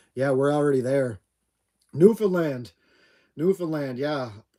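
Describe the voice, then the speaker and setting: This man has a dark, mellow tone and a Maritime Canadian accent. The recording is very clean, with a silent background. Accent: Down East Canadian. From Atlantic Canada. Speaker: homesteader livestream host. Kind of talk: casual live chat.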